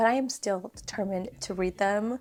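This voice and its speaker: Music plays in the background as a woman speaks at a fairly slow pace. Her pitch sits at a medium level with ordinary variation. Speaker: book reviewer. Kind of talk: casual talk to camera. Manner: soft-spoken.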